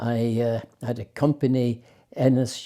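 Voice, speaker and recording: A man's dark, mellow voice at medium pitch, monotone with flat intonation. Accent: Irish. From Ireland, Limerick. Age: 70s. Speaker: retired racing driver. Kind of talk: interview. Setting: at home. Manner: halting.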